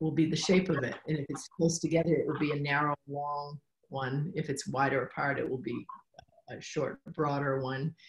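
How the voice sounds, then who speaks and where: A woman's very deep, low voice, somewhat breathy, with fairly even intonation at a moderate pace. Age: 60s. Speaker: beekeeper and author. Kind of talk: interview.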